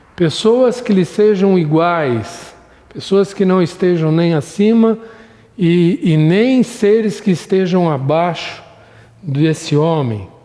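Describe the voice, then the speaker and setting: The speaker talks at a very slow pace with lively intonation and very even loudness, amid noticeable background noise. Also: man, high pitch for a man. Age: 60s. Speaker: Sunday school Bible teacher. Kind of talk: recorded Bible lesson.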